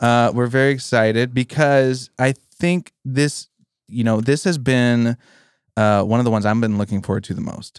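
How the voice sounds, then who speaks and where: A man with an American accent talks in a normal speaking voice at a medium pitch and a moderate pace, with ordinary pitch variation. The recording is very clean, with a silent background and a dry, close sound with no echo. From Pennsylvania. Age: 30s. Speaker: podcast co-host. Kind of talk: casual chat. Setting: studio.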